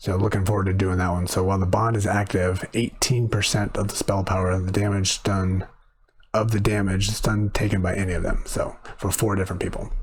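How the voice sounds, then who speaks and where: Over noticeable background noise, a man talks at a fairly quick pace with a fairly low pitch and monotone, flat intonation. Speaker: gaming youtuber. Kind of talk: gameplay commentary. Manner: fast.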